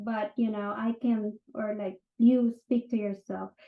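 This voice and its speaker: Speaking at a fairly slow pace, a woman talks in a Filipino accent. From Philippines. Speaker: real estate agent and NLP practitioner. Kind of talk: casual talk / informal lecture. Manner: conversational with frequent fillers.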